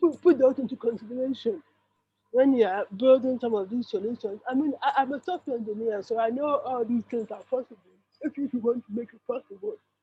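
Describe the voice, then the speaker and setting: With an African accent, a woman speaks fairly quickly at a high pitch, using ordinary pitch variation. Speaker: panelist, software engineer. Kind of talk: panel discussion. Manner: halting, repeats words.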